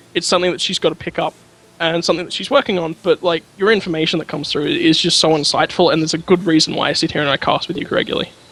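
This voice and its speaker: A man talks very fast in a high voice while noticeable background noise plays behind him. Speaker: esports caster. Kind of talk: live commentary. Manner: controlled, varied pitch.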